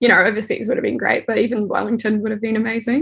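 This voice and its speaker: In a New Zealand accent, a woman speaks with a fairly high pitch and fairly even intonation. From New Zealand (Dunedin), born in the Netherlands. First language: Dutch. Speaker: artist and art director. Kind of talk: interview. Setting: home, childhood bedroom.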